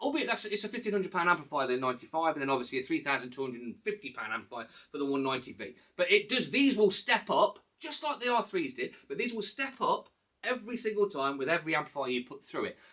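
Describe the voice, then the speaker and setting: A man in an English accent, high-pitched and very fast, with a bright, sharp tone, a raised, projected voice and very wide pitch swings. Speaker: hi-fi reviewer. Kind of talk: product review. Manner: halting.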